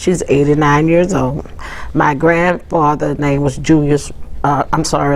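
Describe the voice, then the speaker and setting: A woman's very deep, low voice with a New Orleans accent, fairly even intonation, audible room echo and noticeable background noise. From New Orleans, Louisiana. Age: 70s. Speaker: city council staffer and cultural tradition bearer. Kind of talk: oral history interview. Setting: city hall office, on camera. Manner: conversational with frequent fillers.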